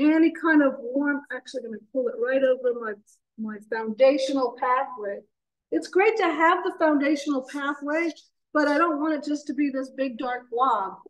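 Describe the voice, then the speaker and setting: Her voice high, a woman speaks at a moderate pace with lively intonation. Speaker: painting instructor. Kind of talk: painting demonstration. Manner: casual, thinking aloud.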